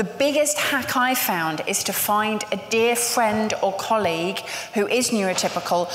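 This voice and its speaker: A woman speaks in a fairly high voice. Light background noise and audible room echo can be heard. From England. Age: 50s. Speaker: panel moderator, agency co-founder; panel moderator. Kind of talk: live panel moderation. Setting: stage with audience. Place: hall.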